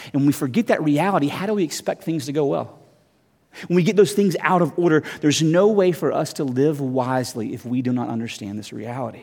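Talking very fast, a man with a fairly high voice uses lively intonation. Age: 40s. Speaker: pastor. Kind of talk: sermon. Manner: halting.

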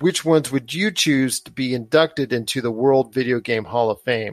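A man speaks at a moderate pace. The sound is dry and close with no echo, a very clean recording over a silent background. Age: 30s. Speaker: podcast host. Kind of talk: casual chat.

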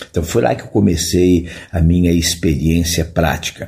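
Somewhat breathy and dark, mellow in tone, the voice moves at a fairly slow pace. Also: man. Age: 70s. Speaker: physical education professor. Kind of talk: interview.

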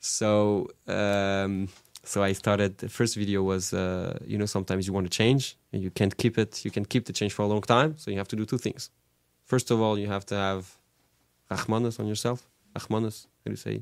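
A man with a French accent speaks at a fairly low pitch. His pace is fairly quick and his intonation fairly even. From France, Paris suburbs (Orly). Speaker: rabbi. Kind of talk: casual chat. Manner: halting, with frequent fillers and repetitions.

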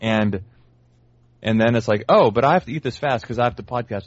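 A man's fairly quick, fairly even delivery with an American accent. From US South, New Orleans. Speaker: baseball analytics writer. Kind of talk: casual chat.

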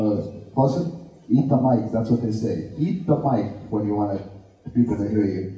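A man with an American accent talks at a moderate pace with ordinary pitch variation, and noticeable background noise is present. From Southern California. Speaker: community organizer. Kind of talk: panel talk. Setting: live event with audience.

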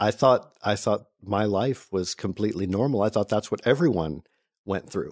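A normal speaking voice talks at a moderate pace with ordinary pitch variation. The sound is dry and close with no echo, against a quiet background. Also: man, fairly low pitch for a man. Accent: American. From North Carolina, US South. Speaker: non-profit founder. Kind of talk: interview. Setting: studio.

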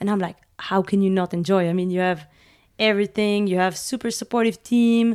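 The recording is very clean with a silent background. In an unremarkable speaking voice, the speech comes at a fairly quick pace with fairly even intonation. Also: woman, medium pitch for a woman. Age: 30s. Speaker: professional mountain bike racer. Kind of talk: casual interview chat.

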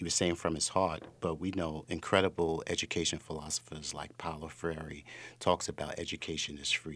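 Over a silent background on a very clean recording, a man with an American accent speaks in a very deep, low pitch with fairly even intonation. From New York City. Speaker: school executive director. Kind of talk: radio interview.

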